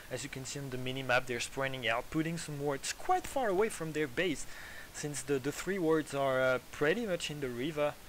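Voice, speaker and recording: A man with a French accent speaks at a fairly quick pace, his pitch fairly high with ordinary variation. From France. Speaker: esports commentator. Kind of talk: casual chat; live commentary.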